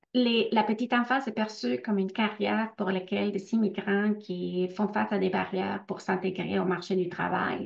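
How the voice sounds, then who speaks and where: With a non-native accent and vocal fry, a woman speaks at a moderate pace and medium pitch. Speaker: researcher. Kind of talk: webinar Q&A. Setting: online webinar. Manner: hesitant, many fillers.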